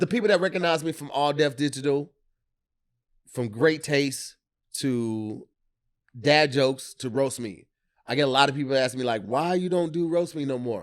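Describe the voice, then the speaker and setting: A man with a fairly high pitch speaks at a moderate pace in an animated tone, with ordinary pitch variation and long, frequent pauses. The recording is very clean, with a silent background. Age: 40s. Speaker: comedian. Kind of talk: casual chat.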